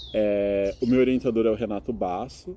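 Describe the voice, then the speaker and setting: A man speaks with a dark, mellow tone at a fairly low pitch. His pace is moderate, with ordinary pitch variation. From Brazil, São Carlos (São Paulo state). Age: 20s. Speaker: master's student and English teacher. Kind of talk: interview. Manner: explanatory, with frequent filler hesitations.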